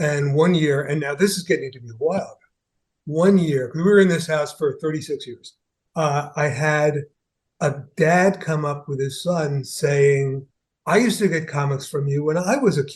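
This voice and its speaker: Somewhat breathy and fairly high-pitched, a man speaks at a moderate pace with ordinary pitch variation and big swings in loudness. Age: 70s. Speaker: comics writer. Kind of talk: casual chat. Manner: halting.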